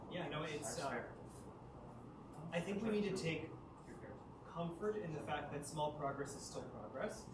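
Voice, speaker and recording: A man at a fairly high pitch with ordinary pitch variation, at a moderate pace with long, frequent pauses, amid audible room echo and noticeable background noise. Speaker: city official presenting plan. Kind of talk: public meeting Q&A.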